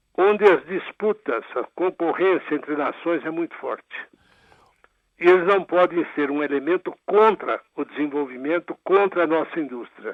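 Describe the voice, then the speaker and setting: Here a man talks at a moderate pace with a high pitch and ordinary pitch variation. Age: 80s+. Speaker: former labor minister and judge. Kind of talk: radio interview.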